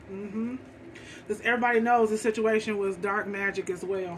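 A woman's animated, very fast voice over light background noise. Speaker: tarot card reader. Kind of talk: tarot reading. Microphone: phone near.

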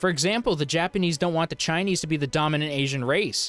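A man speaks with faint music in the background. The sound is dry, with no echo. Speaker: commentary youtuber. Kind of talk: commentary. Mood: sarcastic, incredulous. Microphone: handheld.

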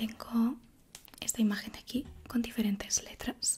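Light background noise accompanies a woman speaking at a very slow pace with monotone, flat intonation. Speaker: ASMR creator. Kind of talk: ASMR roleplay, medical exam. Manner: soft-spoken, whispering. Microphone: studio mic.

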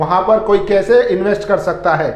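A man with a high pitch, a fairly slow pace, ordinary pitch variation and audible room echo.

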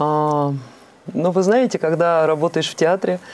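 Her voice very deep and low for a woman, she talks at a fairly slow pace with ordinary pitch variation. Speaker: opera singer; guest. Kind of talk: interview. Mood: warm, smiling. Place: studio.

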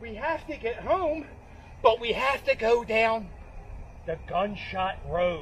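At a very slow pace with long, frequent pauses, a man with an American accent and an extremely high pitch speaks with lively intonation and big swings in loudness over light background noise. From Philadelphia. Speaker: comedy YouTuber. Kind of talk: comedic parody movie trailer. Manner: casual, playful. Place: open country.

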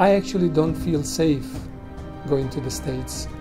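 Clear background music behind a male voice. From Bosnia. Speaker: war and concentration camp survivor. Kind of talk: interview answer. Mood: serious, reflective.

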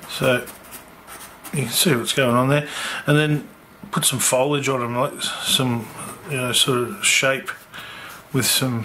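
In a room with audible room echo, a man speaks slowly at a medium pitch with fairly even intonation, a bright, sharp tone and long, frequent pauses.

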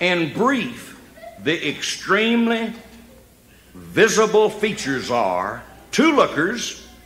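A man talks at a very slow pace. Music plays behind him. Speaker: stand-up comedian storyteller. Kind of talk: live stand-up comedy storytelling. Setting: live stage with audience. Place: stage.

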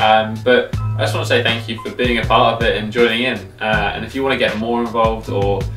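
A fairly quick pace over clear background music. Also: man. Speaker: fitness coach. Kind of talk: tutorial.

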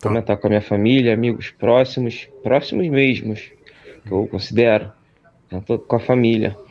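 His loudness very even and his intonation fairly even, a man speaks at a moderate pace. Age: young. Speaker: caller. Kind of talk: casual chat. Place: home room.

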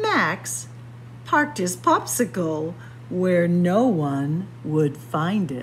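A woman's fairly low voice, very slow in pace, with big pitch swings

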